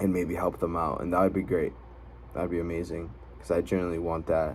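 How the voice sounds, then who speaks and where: A man with a very deep, low voice and vocal fry talks at a fairly quick pace, using ordinary pitch variation. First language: not English. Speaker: vlogger. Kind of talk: personal vlog monologue. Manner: fillers and self-corrections.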